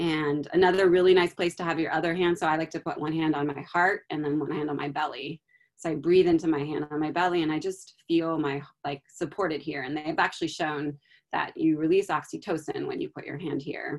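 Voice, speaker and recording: A woman speaks at a very deep, low pitch. Her delivery is fairly quick, with monotone, flat intonation. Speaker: guest speaker on sustaining through crisis. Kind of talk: panel discussion. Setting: video call.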